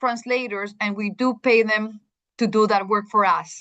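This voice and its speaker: Against a quiet background with a dry, close sound and no echo, a woman talks at a medium pitch and a fairly slow pace. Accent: Spanish. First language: Spanish. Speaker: school district administrator presenting to teachers. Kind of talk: presentation.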